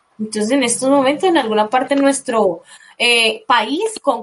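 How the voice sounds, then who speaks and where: Fairly slow speech from a woman with a high voice. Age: 20s. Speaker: nurse. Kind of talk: radio interview.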